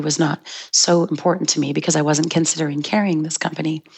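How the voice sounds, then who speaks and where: In a very deep, low voice and a monotone, flat intonation, a woman talks at a fairly quick pace. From Montreal suburbs, Quebec. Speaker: chocolate shop founder. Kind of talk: interview.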